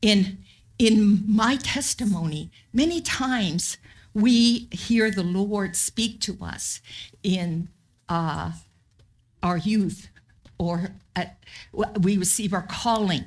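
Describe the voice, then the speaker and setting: A woman with a somewhat breathy voice at medium pitch and ordinary pitch variation speaks at a very slow pace, leaving long, frequent pauses, on a very clean recording with a silent background. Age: 70s. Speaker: missionary pastor. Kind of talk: sermon. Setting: church.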